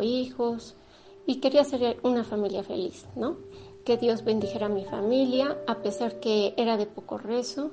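A woman talks at a moderate pace, her pitch varying in an ordinary way, amid noticeable background noise. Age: 50s. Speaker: radio host. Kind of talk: radio talk, personal testimony. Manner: halting.

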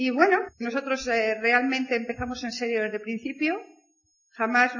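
An unremarkable speaking voice from a woman, fairly high-pitched, with fairly even intonation at a moderate pace. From Spain, province of Burgos. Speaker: network marketing speaker. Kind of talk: motivational talk.

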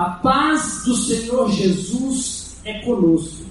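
The words come out very slowly against noticeable background noise. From Brazil, Federal District (Taguatinga area). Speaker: pastor. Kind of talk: sermon.

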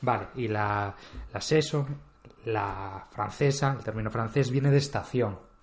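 A man speaks at a moderate pace with a somewhat breathy voice and fairly even intonation. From Spain, Galicia (Vigo). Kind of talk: casual chat.

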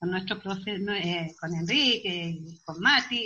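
Speech comes at a fairly slow pace. Its tone is bright and sharp. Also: woman. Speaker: amateur actress. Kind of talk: interview.

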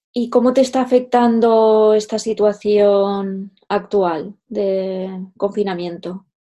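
Very slowly and with hardly any pauses, a woman speaks in a dark, mellow tone at medium pitch with fairly even intonation. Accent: Castilian. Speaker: podcast host and fashion photographer. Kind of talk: interview.

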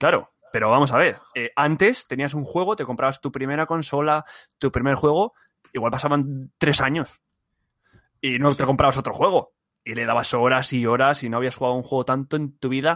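In a normal speaking voice, a man talks at a moderate pace with a fairly high pitch and fairly even intonation, the sound dry and close with no echo against a quiet background. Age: 20s. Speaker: podcast co-host. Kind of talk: casual chat.

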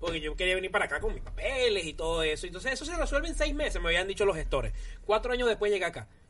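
Noticeable background noise fills the clip. The speech comes at a very fast pace. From Venezuela, Ciudad Bolívar. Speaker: comedian. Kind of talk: casual chat.

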